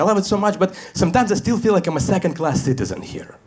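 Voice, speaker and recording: This man talks at a very fast pace. He has a Russian accent. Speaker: stand-up comedian. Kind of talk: stand-up comedy set.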